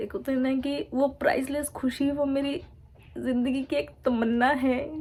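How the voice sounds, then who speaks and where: A woman speaks with a high pitch at a fairly slow pace. Her intonation is fairly even. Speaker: vlogger. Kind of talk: casual vlog talk to camera.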